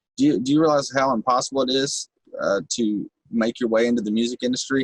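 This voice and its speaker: A man speaks at a fairly quick pace with a Kentucky accent. The sound is dry and close, with no echo. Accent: rural Kentucky, country twang. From Kentucky, Bowling Green area (rural). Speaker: rapper, recovering addict. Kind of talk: podcast interview. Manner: animated.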